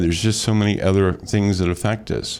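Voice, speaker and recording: In an unremarkable speaking voice, a man with an American accent talks at a fairly quick pace, his pitch fairly low. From US Midwest, metro-East St. Louis area, Illinois. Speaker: radio host and real estate broker. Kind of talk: radio talk show. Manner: conversational with frequent repetitions.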